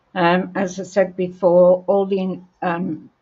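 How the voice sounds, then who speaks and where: A woman with an Australian accent at a very slow pace, medium pitch and fairly even intonation. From Australia, Brisbane. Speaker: paper crafting demonstrator. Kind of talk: live crafting tutorial. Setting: livestream. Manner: hesitant, many ums.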